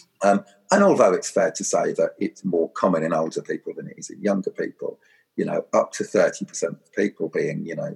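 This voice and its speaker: A man talks at a moderate pace in a dry, close recording with no echo. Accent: southern English. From Suffolk, East Anglia, England. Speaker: charity chief executive. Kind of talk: interview. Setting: remote recording during lockdown. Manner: hesitant, many fillers.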